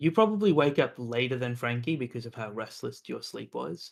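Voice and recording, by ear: The reading aloud is in a natural voice, carried by lively intonation.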